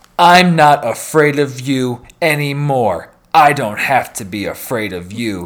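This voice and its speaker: In a put-on character voice, a man speaks fairly slowly at a fairly high pitch with lively intonation. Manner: mock-dramatic movie delivery.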